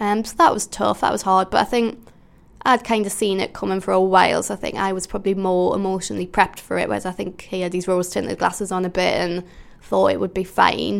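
A woman with an unremarkable speaking voice talks at a fairly quick pace and a medium pitch. Her intonation stays fairly even, and the recording is very clean with a silent background. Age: 20s. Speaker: comedian. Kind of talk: interview answers.

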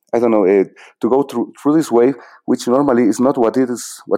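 A man with a Bolivian accent speaks in a dark, mellow tone and fairly even intonation, captured on a very clean recording with a silent background. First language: Spanish. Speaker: filmmaker. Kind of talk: interview. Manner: halting, many repetitions and fillers.

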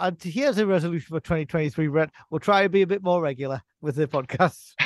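Against a quiet background, with a dry, close sound and no echo, a man uses a plain, everyday voice at a fairly high pitch, a moderate pace and ordinary pitch variation. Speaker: podcast host. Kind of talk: casual banter.

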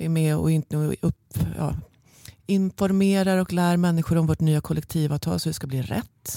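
On a very clean recording with a silent background and a dry, close sound with no echo, a woman with a very deep, low pitch and a dark, mellow tone talks at a moderate pace. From Stockholm, Sweden (Bromma). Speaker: head of office at a reserve officers' union, former journalist. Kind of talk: interview.

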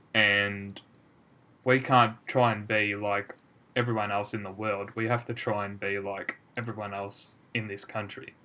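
In an Australian accent, a man speaks at a fairly slow pace with a fairly low pitch. His tone is bright and sharp, and his intonation is monotone and flat. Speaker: podcast co-host, amateur footballer. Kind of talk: casual chat.

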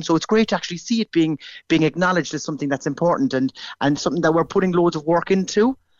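Talking at a very fast pace in a Cork accent, a man keeps a fairly high pitch with ordinary pitch variation. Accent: Irish (Cork). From Ireland. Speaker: primary school teacher. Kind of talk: radio interview. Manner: halting, repeats words.

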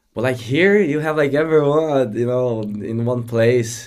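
Speaking with a Brazilian accent, a man uses a medium pitch and lively intonation at a fairly slow pace. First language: Portuguese. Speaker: immigrant living in Ireland. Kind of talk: casual interview chat.

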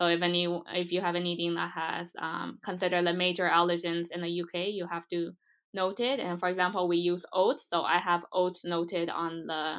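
Speaking at a fairly quick pace in an American accent, a woman keeps her fairly low voice monotone and flat. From US, Taiwanese American. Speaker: food startup founder. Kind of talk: interview.

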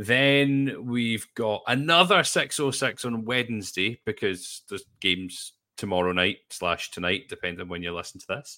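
Fairly slow yet with hardly any pauses, a man speaks at medium pitch in a bright, sharp tone with lively intonation. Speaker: football pundit. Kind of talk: casual chat.

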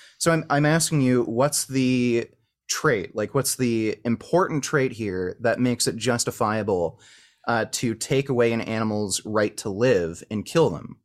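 In a very clean recording with a silent background, a man with a Canadian accent talks at a fairly slow pace in an ordinary speaking voice, medium in pitch with ordinary pitch variation. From Canada. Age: 30s. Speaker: vegan activist and online content creator. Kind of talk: heated debate.

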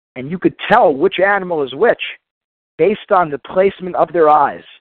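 Energetic in tone, a man with a high voice talks at a fairly quick pace. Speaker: motivational speaker. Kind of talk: motivational talk.

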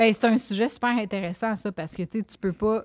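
A woman talks at a fairly quick pace with ordinary pitch variation. The sound is dry and close, with no echo. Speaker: nutritionist and podcaster. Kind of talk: casual chat.

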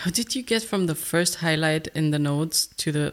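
A woman's very deep, low voice with a playful tone. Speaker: podcast co-host. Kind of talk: casual chat. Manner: joking, playful.

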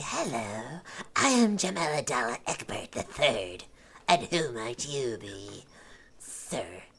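A put-on character voice, low-to-middle in pitch, at a fairly slow pace with long, frequent pauses. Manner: theatrical, flattering, indignant.

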